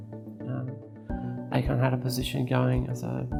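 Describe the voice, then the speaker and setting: Music plays in the background as a woman speaks with an Australian accent. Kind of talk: interview answer.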